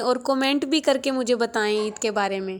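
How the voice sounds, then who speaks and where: The woman's voice sits high in pitch. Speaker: vlogger. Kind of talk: casual vlog narration. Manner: soft, low volume.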